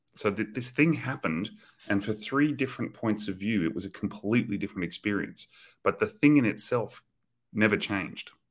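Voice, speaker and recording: A plain, everyday voice at a fairly quick pace. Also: man, fairly low pitch for a man, ordinary pitch variation, very clean recording, silent background. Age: 40s. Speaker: spiritual teacher. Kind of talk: casual chat.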